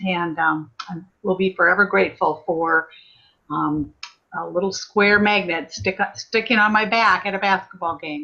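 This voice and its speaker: A woman of medium pitch speaks at a fairly slow pace in a bright, sharp tone. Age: 60s. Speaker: former nurse, network marketing consultant. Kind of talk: testimony.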